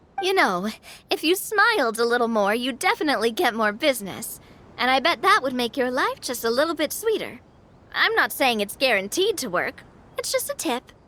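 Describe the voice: A woman's put-on character voice, high-pitched with a bright, sharp tone, big pitch swings and a moderate pace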